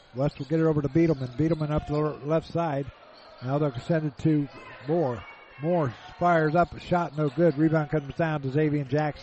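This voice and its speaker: Speaking fairly quickly at a fairly high pitch, a man is heard over noticeable background noise. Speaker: radio play-by-play announcer. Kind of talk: rapid-fire live basketball play-by-play radio commentary. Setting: courtside at a college gym. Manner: fast, clipped staccato calls tracking every pass; rising excitement on made shots, punchy exclamations.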